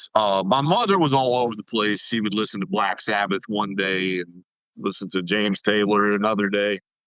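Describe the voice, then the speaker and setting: A slight Southern US accent at a moderate pace, with fairly even intonation. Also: man, fairly low pitch for a man. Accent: slight Southern twang. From US South, East Tennessee. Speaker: music producer. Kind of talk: podcast interview. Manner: casual, filler-heavy.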